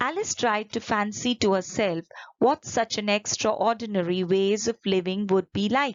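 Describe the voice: This plain reading aloud moves with fairly even intonation.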